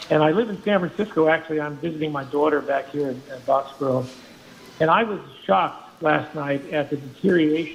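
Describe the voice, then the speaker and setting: A man speaks at a fairly high pitch and a moderate pace, with fairly even intonation. Noticeable background noise can be heard. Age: 80s+. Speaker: caller. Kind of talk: call-in opinion.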